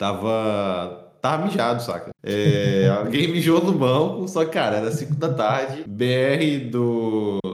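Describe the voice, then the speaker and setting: Lively intonation from a man at a medium pitch. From Rio de Janeiro state, Brazil. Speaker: podcast host. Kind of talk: casual chat. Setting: remote call.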